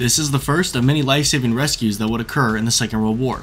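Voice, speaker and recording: Music plays in the background. The speech moves at a very fast pace with ordinary pitch variation. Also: man. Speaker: history channel narrator. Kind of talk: documentary narration.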